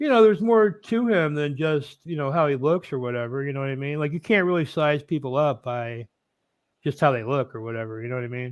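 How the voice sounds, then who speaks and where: Against a quiet background, a man's voice sits at a fairly high pitch. His intonation is lively. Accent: Midwestern American. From Indiana. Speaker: streamer. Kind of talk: casual chat.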